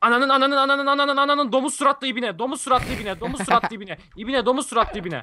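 Speaking very fast with hardly any pauses, a man projects a raised voice at an extremely high pitch with ordinary pitch variation. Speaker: gaming youtuber. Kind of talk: casual chat. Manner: animated.

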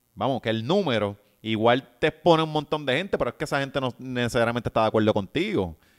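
Very fast speech with lively intonation and a Puerto Rican accent, over a quiet background. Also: man, medium pitch for a man. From Puerto Rico. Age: 30s. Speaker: writer and social media personality; podcast guest. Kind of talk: casual interview chat. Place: home room. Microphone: studio mic.

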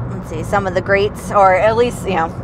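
The recording of a woman's voice has a dry sound with no echo and noticeable background noise. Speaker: passenger co-host. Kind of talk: casual conversation. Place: car. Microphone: camera far.

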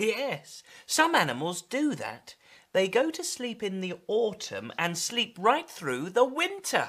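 The reading voice sounds natural. It stays that way from start to finish.

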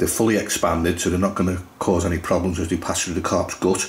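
This man talks at a fairly quick pace in a low pitch, with little pitch movement.

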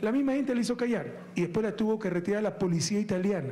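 Speech comes at a very fast pace with ordinary pitch variation. Light background noise is present. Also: man. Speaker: politician addressing a crowd. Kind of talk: public speech. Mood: joking, laughing, mocking. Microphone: handheld.

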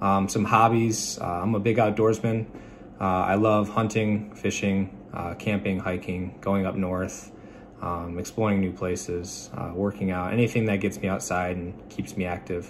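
A man speaks in a flat, monotone way at a moderate pace, with an American accent and a fairly low pitch. Noticeable background noise runs under his voice. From Michigan. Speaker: student pilot and Navy veteran. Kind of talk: class self-introduction video. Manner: halting with frequent fillers. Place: home room. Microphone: phone near.

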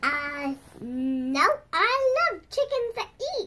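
This is a cartoonish character voice, female-sounding and extremely high in pitch. It moves at a very slow pace with very wide pitch swings. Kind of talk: improvised puppet play. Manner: hesitant, playful.

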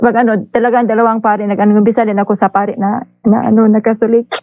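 Very rapid speech from a woman, fairly high in pitch. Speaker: caller. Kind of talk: casual chat. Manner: halting.

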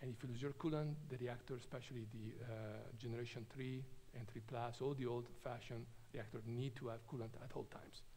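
Somewhat breathy and in monotone, flat intonation, a man talks at a fairly quick pace over light background noise. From Italy, Trento. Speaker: nuclear engineer. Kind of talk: lecture. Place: hall.

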